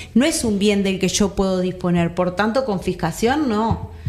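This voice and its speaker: With noticeable background noise, a woman of medium pitch speaks at a moderate pace with ordinary pitch variation. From Uruguay, Colonia (Carmelo). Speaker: union activist, campaign advocate. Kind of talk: interview. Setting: studio.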